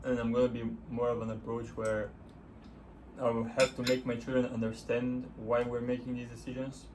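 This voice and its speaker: Speaking at a medium pitch and a moderate pace, a man delivers his words in a monotone, flat way, with audible room echo around him. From Bulgaria. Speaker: couple vlogger. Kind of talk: casual chat.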